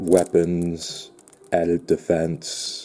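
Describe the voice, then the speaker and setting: A man's very deep, low voice against noticeable background noise. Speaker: unboxing video creator. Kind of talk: product unboxing. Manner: halting.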